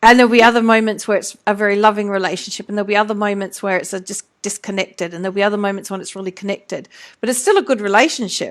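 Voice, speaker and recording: A woman at a medium pitch talks very fast with hardly any pauses and big swings in loudness, on a very clean recording with a silent background. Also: fairly even intonation. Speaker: mentoring coach and live interview host. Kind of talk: live video interview.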